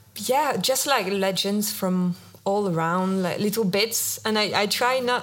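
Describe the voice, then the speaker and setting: A woman speaks with a French accent at a fairly slow pace. Noticeable background noise runs behind her. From France. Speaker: visual artist. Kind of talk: interview. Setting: stage with audience.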